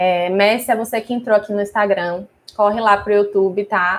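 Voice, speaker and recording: A woman speaks in an ordinary speaking voice at a medium pitch. Her intonation is fairly even and her pace fairly slow. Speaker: wedding stationery business owner and teacher. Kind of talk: live stream class. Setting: live stream on YouTube and Instagram.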